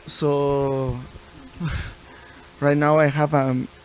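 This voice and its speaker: A man with a Spanish accent against noticeable background noise. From Venezuela. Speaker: panelist. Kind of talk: panel discussion.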